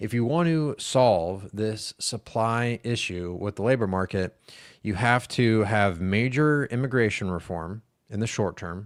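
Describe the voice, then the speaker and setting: A man's normal speaking voice at a fairly low pitch, with ordinary pitch variation and a fairly slow pace, on a very clean recording with a silent background. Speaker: macro market commentator. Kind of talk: market analysis video. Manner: casual with many fillers.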